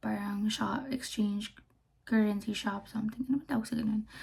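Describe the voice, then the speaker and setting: With a dark, mellow tone, the voice comes across as somewhat breathy. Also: woman. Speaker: travel vlogger. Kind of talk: casual vlog talk. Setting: Airbnb room. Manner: hushed, lowered voice; halting, many fillers.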